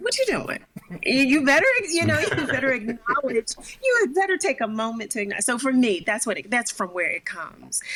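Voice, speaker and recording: A woman speaks in a high voice with very wide pitch swings. Noticeable background noise runs underneath. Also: fairly quick pace. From Philadelphia. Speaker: singer-songwriter. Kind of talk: interview answer.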